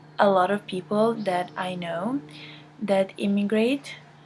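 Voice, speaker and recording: Very slow speech with fairly even intonation comes through noticeable background noise. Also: woman. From Italy. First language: Italian. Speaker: interviewee. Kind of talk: interview.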